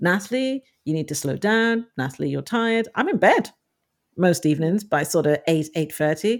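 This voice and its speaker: A woman with an unremarkable speaking voice talks at a moderate pace, fairly low in pitch and with lively intonation. The recording is very clean, with a silent background. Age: 40s. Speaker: author and self-help blogger. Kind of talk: interview.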